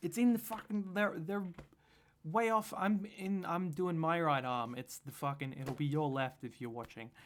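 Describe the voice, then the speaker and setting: A man with an Australian accent speaks at a moderate pace. His pitch is high and his intonation lively. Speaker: political commentator. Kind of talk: reaction commentary. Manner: animated.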